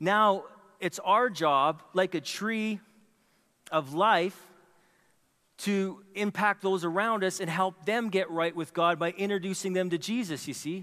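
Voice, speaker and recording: A raised, projected voice with a bright, sharp tone, fairly slow delivery, ordinary pitch variation and long, frequent pauses. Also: man, high pitch for a man. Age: 40s. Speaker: pastor. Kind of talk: sermon. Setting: church.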